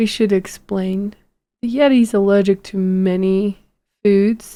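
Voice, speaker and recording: Speaking at a very slow pace, a woman of medium pitch uses fairly even intonation and a dark, mellow tone. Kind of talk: casual chat. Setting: podcast recording.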